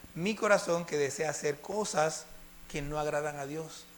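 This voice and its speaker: A man with fairly high pitch talks at a moderate pace and ordinary pitch variation. Room echo is audible. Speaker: preacher. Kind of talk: sermon.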